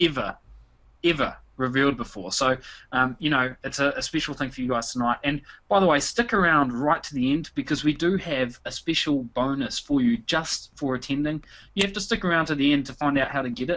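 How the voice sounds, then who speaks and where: With a New Zealand accent, a man talks at a fairly quick pace in a fairly high pitch. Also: ordinary pitch variation. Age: 30s. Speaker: internet marketer. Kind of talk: webinar presentation. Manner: frequent fillers, hesitant repetitions.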